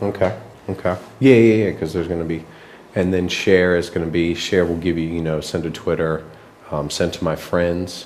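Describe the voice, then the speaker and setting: A soft-spoken man talks at a very deep, low pitch with fairly even intonation. Audible room echo is present. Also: moderate pace. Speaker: app designer. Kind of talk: work meeting presentation. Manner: soft-spoken, kept low; halting, many fillers.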